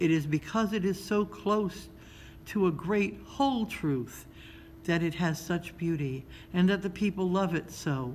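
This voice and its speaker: A woman puts on a character voice, soft-spoken and rumbling, with a fairly low pitch. She keeps a moderate pace against clear background noise. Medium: read story. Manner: slow, gentle, wise.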